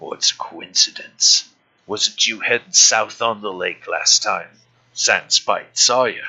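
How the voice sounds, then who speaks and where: A put-on character voice delivers the lines fairly slowly. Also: man. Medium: actual play. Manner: crude, taunting, refers to himself in third person.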